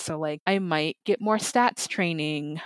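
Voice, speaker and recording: A woman with an American accent and an ordinary speaking voice, fairly low in pitch, with dry, close sound and no echo. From Minnesota, US Midwest. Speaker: podcast transcriber. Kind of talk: interview.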